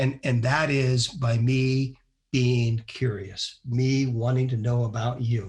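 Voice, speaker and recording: A man at medium pitch sounds somewhat breathy, with monotone, flat intonation. His loudness is very even and his pace very slow. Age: 60s. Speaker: business leader and podcast co-host. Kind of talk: casual chat.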